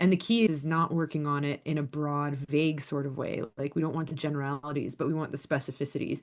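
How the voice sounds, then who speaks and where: Against a quiet background, a woman with an American accent and a very deep, low voice talks at a very fast pace with fairly even intonation and hardly any pauses. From US, Southern California (LA, the Valley). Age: 40s. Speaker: leadership speaker and consultant. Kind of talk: podcast interview.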